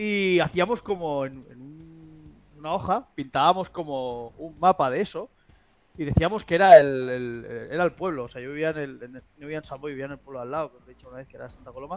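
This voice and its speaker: A man talks in a normal speaking voice at a fairly quick pace, his fairly high pitch showing ordinary variation while his loudness swings widely. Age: 30s. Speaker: podcast co-host and intro narrator. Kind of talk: casual chat.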